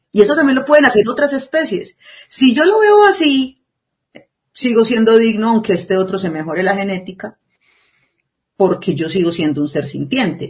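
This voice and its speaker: Somewhat breathy, a woman speaks with very wide pitch swings and long, frequent pauses. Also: fairly high pitch for a woman, moderate pace. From Colombia, Antioquia (La Ceja). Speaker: podcast co-host. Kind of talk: casual discussion.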